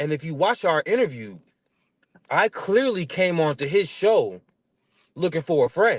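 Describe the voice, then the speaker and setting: A high-pitched man with an American accent, animated and lively in intonation, fairly slow with long, frequent pauses, in dry, close sound with no echo. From North Carolina. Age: 30s. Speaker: comedian and musician. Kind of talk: casual interview chat.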